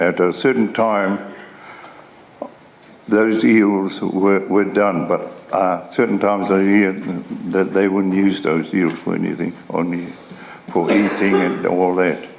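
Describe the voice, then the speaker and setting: This man's voice sits fairly low and moves at a fairly slow pace with fairly even intonation, broken by long, frequent pauses. The room echo is audible, and background noise is noticeable. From New Zealand, Northland. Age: 70s. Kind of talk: testimony. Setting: formal hearing. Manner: halting.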